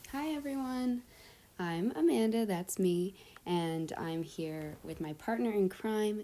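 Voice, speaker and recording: A woman's medium-pitched voice with lively intonation at a very slow pace, on a very clean recording with a silent background. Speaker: student presenter. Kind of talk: educational vlog presentation. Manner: casual with fillers.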